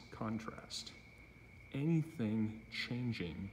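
Somewhat breathy and fairly low in pitch, a man speaks with ordinary pitch variation over light background noise. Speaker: self-filming demonstrator. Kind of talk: explanatory monologue. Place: garage. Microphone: phone near.

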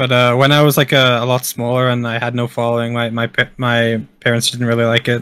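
A Welsh accent at a fairly quick pace. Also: man. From Wales. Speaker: top-ranked gamer. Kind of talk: casual chat.

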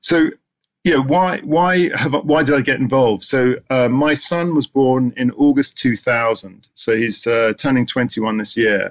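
A man with an English accent talks at a fairly slow pace and medium pitch. His pitch variation is ordinary, and the background is quiet. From England. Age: 50s. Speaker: esports association founder. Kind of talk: conference presentation. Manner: halting. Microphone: webcam.

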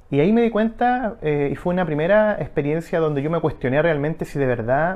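Lively intonation marks this man's Chilean accent. He talks at a fairly high pitch with hardly any pauses. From Chile, Valparaíso region. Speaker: parish priest. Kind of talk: testimony. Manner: halting, many fillers. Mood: calm, reflective. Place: home room. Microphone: lapel.

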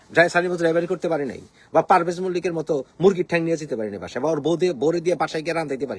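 A man's high-pitched voice with big swings in loudness and ordinary pitch variation. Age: young. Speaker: political commentator. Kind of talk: political rant. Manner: animated.

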